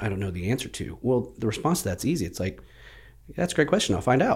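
A man with an American accent speaks at a very fast pace with very wide pitch swings. His voice is somewhat breathy on a very clean recording with a silent background. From Plano, Texas. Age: 40s. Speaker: real estate team leader. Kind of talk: casual interview chat.

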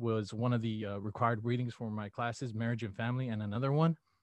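A man with an American accent talks at a very fast pace and a medium pitch, his intonation fairly even. The sound is dry and close with no echo, over a quiet background. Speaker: college student. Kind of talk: interview. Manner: casual, many fillers.

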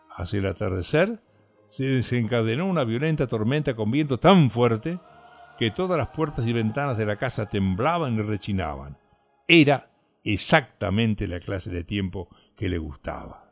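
Music is in the background. A man speaks with very wide pitch swings. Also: medium pitch for a man, moderate pace. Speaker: audiobook narrator. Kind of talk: dramatic narration of a gothic story, read aloud. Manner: hushed, theatrical, menacing tone with suspenseful pacing.

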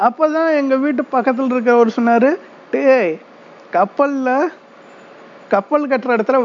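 A man's extremely high-pitched voice over noticeable background noise. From southern Tamil Nadu, near Aruppukottai/Virudhunagar. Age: 40s. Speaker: migrant worker telling his life story. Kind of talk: personal storytelling monologue.

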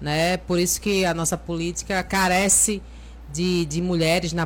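A woman talks at a moderate pace. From Brazil, Aracaju (Sergipe). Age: 40s. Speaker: teacher, lawyer and local politician. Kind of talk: casual interview.

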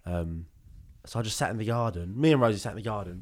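A man with a British accent speaks at a very fast pace in a fairly low voice. The recording is very clean with a silent background. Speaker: podcast host. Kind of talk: casual chat.

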